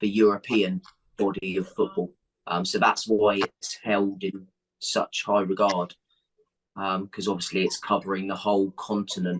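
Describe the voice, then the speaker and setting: A man with an English accent talks in a fairly low pitch with monotone, flat intonation at a moderate pace. The sound is dry and close, with no echo. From England. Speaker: football coach. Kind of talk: interview answer. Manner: hesitant, conversational.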